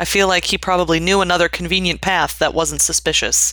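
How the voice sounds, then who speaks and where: A woman speaks in a fairly low pitch. Her intonation stays flat and monotone. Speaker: podcast host. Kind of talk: casual chat.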